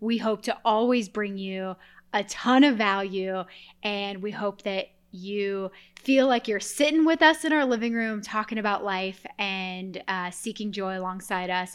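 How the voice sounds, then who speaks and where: A woman with an American accent has a plain, everyday voice at medium pitch with ordinary pitch variation, in a very clean recording with a silent background. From Colorado. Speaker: podcast co-host, architect. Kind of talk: casual chat. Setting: home recording.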